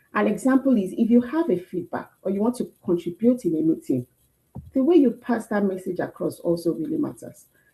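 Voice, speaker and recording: A woman's fairly high, somewhat breathy voice with a dark, mellow tone, very wide pitch swings and a fairly quick pace. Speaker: career workshop speaker. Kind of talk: talk. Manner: animated.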